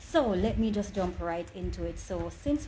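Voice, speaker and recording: Room echo can be heard as a woman talks. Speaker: online inspirational speaker. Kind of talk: motivational talk. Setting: livestream.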